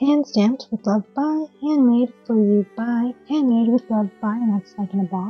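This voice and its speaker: A woman at a fairly slow pace with ordinary pitch variation, faint music in the background. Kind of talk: casual haul narration. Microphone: phone near.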